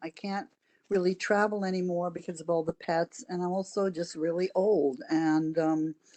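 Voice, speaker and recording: A woman with a dark, mellow tone and medium pitch speaks at a moderate pace with ordinary pitch variation, in a dry, close sound with no echo. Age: 80s+. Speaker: short-term rental host. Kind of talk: public testimony. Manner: halting, many fillers.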